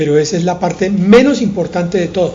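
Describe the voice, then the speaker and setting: A man speaks at high pitch. There is audible room echo and noticeable background noise. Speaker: pastor. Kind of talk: sermon.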